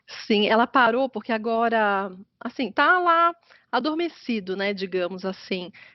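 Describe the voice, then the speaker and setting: Her intonation is lively and her pitch fairly high. The woman speaks at a fairly slow pace with a slight carioca accent. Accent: slight carioca tinge, rolled R and hissing S. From Atibaia, São Paulo state, Brazil. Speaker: business consultant. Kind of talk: interview conversation.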